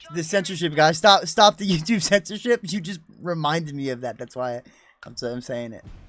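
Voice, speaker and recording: A man with an American accent, fairly high-pitched and fairly quick, with lively intonation, big swings in loudness and music in the background. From US, New Jersey. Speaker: gaming streamer. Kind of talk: live game stream chat.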